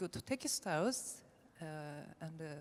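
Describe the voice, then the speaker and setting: A woman speaks with a Japanese accent. Her pitch is fairly low. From Japan, Nara. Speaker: textile designer. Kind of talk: conference presentation. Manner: halting, many fillers.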